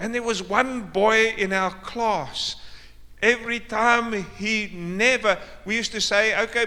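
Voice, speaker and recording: Raised and projected, a man's high-pitched voice has a bright, sharp tone, fairly even intonation and a very slow pace. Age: 60s. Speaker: pastor. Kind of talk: sermon. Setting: church.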